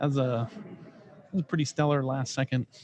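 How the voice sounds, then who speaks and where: A man with an American accent speaks at a fairly quick pace, somewhat breathy, in a dry, close sound with no echo. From Texas. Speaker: sports commentator. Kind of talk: live commentary. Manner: casual; animated.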